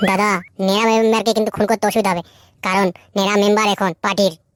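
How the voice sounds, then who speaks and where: A woman does a cartoonish character voice at a medium pitch, flat and monotone. She goes at a very fast pace, and the sound is dry and close with no echo. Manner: brash, crude.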